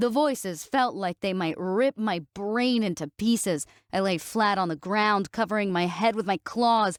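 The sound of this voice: An unforced reading voice with ordinary pitch variation, against a quiet background.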